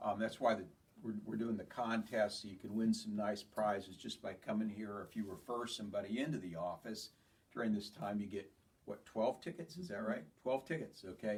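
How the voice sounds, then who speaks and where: Talking at a fairly quick pace, a man with an unremarkable speaking voice and fairly low pitch shows ordinary pitch variation. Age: 60s. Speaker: chiropractor. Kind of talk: health talk to patients. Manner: casual, conversational.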